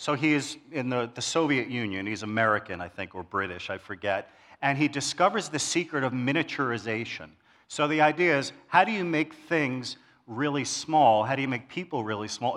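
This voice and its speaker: A man with a New York accent, medium-pitched, fairly quick and lively in intonation, on a very clean recording with a silent background. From New York City, Queens. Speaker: church elder, lay preacher. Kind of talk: sermon. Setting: church service with congregation.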